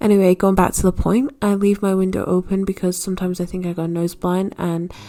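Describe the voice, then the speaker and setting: A woman with a South Yorkshire accent, medium in pitch, fairly quick, with fairly even intonation amid noticeable background noise. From northern England, South Yorkshire. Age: 20s. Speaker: art student vlogger. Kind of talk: casual voiceover chat. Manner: casual, filler-heavy.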